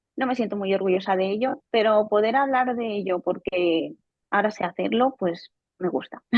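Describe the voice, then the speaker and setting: A woman speaks at a moderate pace in a medium pitch. Her pitch varies in an ordinary way. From Spain, Barcelona. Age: 20s. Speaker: software quality engineer, coaching client. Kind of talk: testimony interview. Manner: halting, with repetitions.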